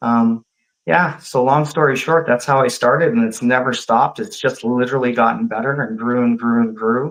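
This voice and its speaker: A man speaks in a normal speaking voice at a medium pitch, with ordinary pitch variation and a moderate pace. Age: 50s. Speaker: diet coach. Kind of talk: casual interview chat. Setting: live video stream.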